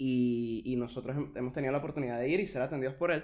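A man with a Caracas accent speaks at a fairly quick pace. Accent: Venezuelan Spanish (Caracas). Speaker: podcast co-host. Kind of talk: casual chat.

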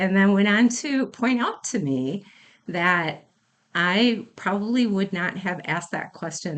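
Lively intonation with an Upper Midwest accent, over a quiet background. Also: woman. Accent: Upper Midwest American. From Wisconsin, Racine County. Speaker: fire captain and EMS program director. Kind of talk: interview. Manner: halting.

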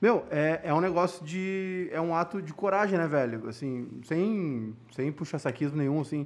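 Against a quiet background, a man with a fairly high pitch and ordinary pitch variation speaks with hardly any pauses. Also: fairly slow pace. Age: 30s. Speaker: podcast host. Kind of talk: casual chat.

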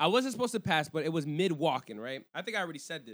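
On a very clean recording with a silent background, a man speaks very fast in an animated tone with very wide pitch swings. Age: 30s. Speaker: podcast host. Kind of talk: casual chat.

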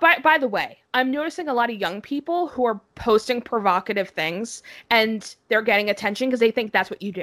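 A high-pitched woman speaks at a fairly quick pace with very wide pitch swings. The sound is dry and close with no echo. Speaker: podcast co-host. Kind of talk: casual chat.

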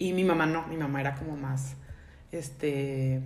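Audible room echo surrounds a woman as she talks. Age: 20s. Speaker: graphic designer, podcast host. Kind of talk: casual chat.

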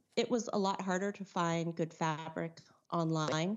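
A woman is speaking. She has a Californian accent. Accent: Californian American. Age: 40s. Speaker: artist and teacher. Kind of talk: casual interview chat.

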